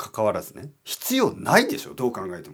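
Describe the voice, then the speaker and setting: The recording is very clean, and the background is silent. A man talks at a moderate speed. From Japan, Oita. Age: 40s. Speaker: Japanese teacher podcaster. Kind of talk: casual solo talk for learners.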